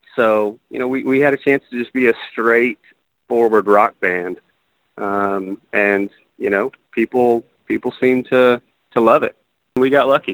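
A man speaks at a medium pitch and a fairly slow pace, leaving long, frequent pauses. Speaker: drummer. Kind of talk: casual interview. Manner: laid-back, hesitant.

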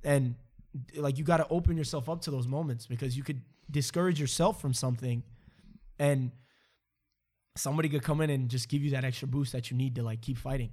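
Over a very clean recording with a silent background, a man talks at a very fast pace broken by long, frequent pauses. His voice is somewhat breathy, medium in pitch, with a dark, mellow tone and fairly even intonation. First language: not English. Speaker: podcast host. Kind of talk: casual conversation.

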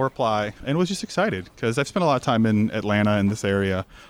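A man talks at a very fast pace in an American accent. His pitch sits in the medium range. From Florida. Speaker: bartender, cocktail competitor. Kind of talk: interview at live event.

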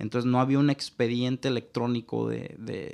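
A man with a Mexican accent, medium pitch and a fairly slow pace. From Mexico. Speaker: digital marketing consultant. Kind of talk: interview.

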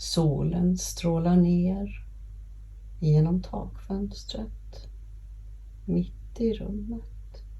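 A woman's calm, soothing tone at a very slow pace, broken by long, frequent pauses. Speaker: podcast host and grief guide. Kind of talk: guided meditation. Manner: slow, calm, soothing, gentle pacing with long pauses; warm, empathetic, reassuring.

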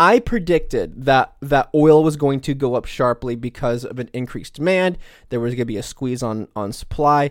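A man speaks at a fairly slow pace in a fairly high pitch with ordinary pitch variation. The recording is very clean, dry and close with no echo, and the background is silent. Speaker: podcast co-host. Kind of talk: casual political commentary. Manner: halting, repeats words.

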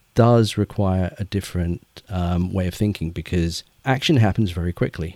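A man with an English accent speaks at a moderate pace in a dark, mellow tone. The sound is dry and close with no echo, and his pitch variation is ordinary. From England. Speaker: children's author. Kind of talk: interview.

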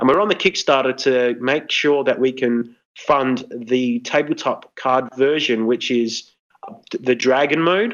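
A man with an Australian accent talks at a fairly slow pace in a medium pitch. His loudness is very even and his pitch variation ordinary. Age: 30s. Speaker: artist and card game designer. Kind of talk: casual interview.

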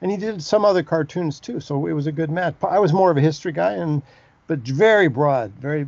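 With an American accent, a man talks fairly quickly in a plain, everyday voice, his intonation lively. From US West Coast. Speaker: book editor. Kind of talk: interview.

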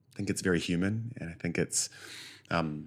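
On a very clean recording with a silent background, a man with a New Zealand accent speaks at a moderate pace in a very deep, low pitch with ordinary pitch variation. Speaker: actor. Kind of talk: interview.

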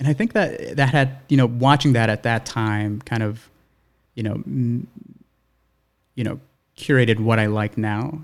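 Long, frequent pauses break up a man's speech. His pitch is medium with ordinary variation. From New York City (Brooklyn). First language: Spanish. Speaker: cinematographer. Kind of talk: casual podcast interview.

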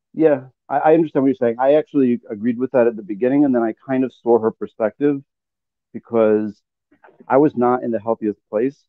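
In a normal speaking voice, a man of medium pitch talks at a fairly quick pace with fairly even intonation. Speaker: caller. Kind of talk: casual chat. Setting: video call.

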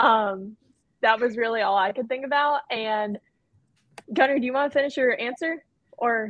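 A woman with an American accent and a high pitch, ordinary pitch variation, a moderate pace and long, frequent pauses. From North Carolina. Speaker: teacher. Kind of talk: roundtable discussion.

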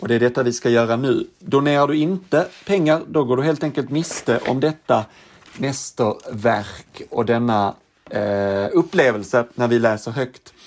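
Here is a man with a normal speaking voice at a medium pitch. He talks at a fairly slow pace with ordinary pitch variation. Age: 30s. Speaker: podcast host. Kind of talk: casual chat.

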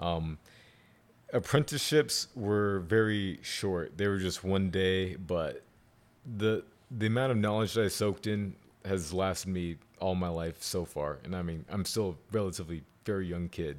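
The pace is moderate, with ordinary pitch variation. The recording is very clean, with a silent background. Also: man, very deep, low pitch for a man. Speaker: knife maker and former Marine. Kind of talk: casual interview. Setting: home studio, in person.

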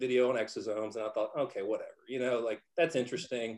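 With a Texan accent, a man speaks at a fairly quick pace and a medium pitch. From Texas. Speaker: physician. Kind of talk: roundtable discussion.

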